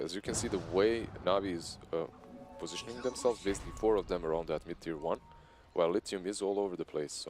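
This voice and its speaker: A man with a Slavic accent speaks at a fairly quick pace in a fairly low pitch. His pitch varies in an ordinary way, with music in the background. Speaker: esports commentator. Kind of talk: live commentary.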